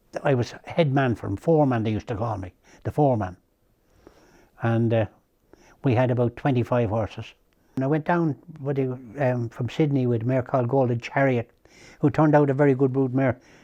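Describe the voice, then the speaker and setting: With an Irish accent, a man speaks at a medium pitch in a dark, mellow tone, with ordinary pitch variation and long, frequent pauses, against a quiet background. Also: fairly quick pace. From Ireland, County Kildare. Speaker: racehorse trainer. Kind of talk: interview reminiscence. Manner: halting.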